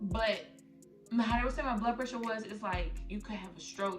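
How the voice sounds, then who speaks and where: With music in the background and audible room echo, a woman talks with ordinary pitch variation. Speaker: YouTuber, new mother. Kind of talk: casual Q&A vlog. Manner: fast.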